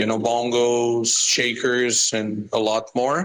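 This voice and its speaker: Speaking at a very slow pace with a Portuguese accent, a man keeps his intonation fairly even. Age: 30s. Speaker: musician. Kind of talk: personal statement. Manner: halting.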